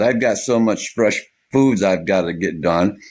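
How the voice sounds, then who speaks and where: This man has a fairly low pitch. He speaks at a moderate pace with lively intonation. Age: 60s. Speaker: off-grid homesteader vlogger. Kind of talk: casual vlog monologue. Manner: rambling with fillers and repetitions.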